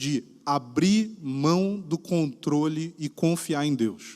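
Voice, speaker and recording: A high-voiced man with lively intonation, in a very clean recording with a silent background. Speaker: pastor. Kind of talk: sermon. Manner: casual, conversational.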